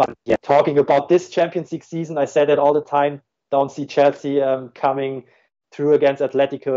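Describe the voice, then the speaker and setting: Speaking in a German accent, the voice moves at a fairly quick pace in a monotone, flat intonation. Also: man. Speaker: football tactics analyst. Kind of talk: podcast interview. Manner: halting, many fillers and repeats.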